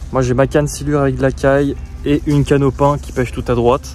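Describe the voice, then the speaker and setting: The speech moves at a fairly slow pace in a dry space with no echo, with faint music playing in the background. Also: man. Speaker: fishing vlogger. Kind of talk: casual vlog chat. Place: waterside. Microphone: phone near.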